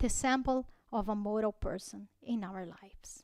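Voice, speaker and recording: At a very slow pace, the voice shows ordinary pitch variation on a very clean recording with a silent background. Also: woman. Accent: Portuguese. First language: Portuguese. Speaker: spiritist lecturer. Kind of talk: religious talk. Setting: spiritist center. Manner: halting.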